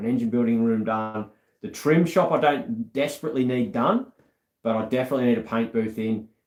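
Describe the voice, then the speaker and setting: A man talks at a fairly quick pace and a medium pitch with an Australian accent. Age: 40s. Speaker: car restorer and YouTuber. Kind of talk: casual chat. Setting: live stream.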